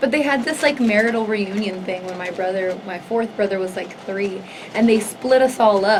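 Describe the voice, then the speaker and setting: Speaking with a Spanish accent, a woman talks at a moderate pace and fairly high pitch with ordinary pitch variation, amid noticeable background noise and audible room echo. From Southern California (Los Angeles area). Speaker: singer. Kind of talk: interview, life story. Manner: casual, heavy use of 'like'.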